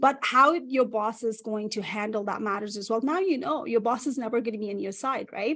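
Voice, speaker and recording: A woman with a non-native accent speaks at a fairly quick pace, her fairly high pitch moving with ordinary variation. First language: not English. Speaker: career strategist. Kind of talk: interview.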